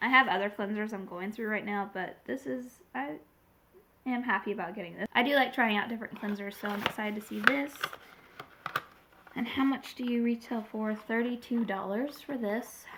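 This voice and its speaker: A woman talks at a fairly high pitch while noticeable background noise continues. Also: ordinary pitch variation, moderate pace. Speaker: beauty vlogger. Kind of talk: casual unboxing review. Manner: rambling, hesitant.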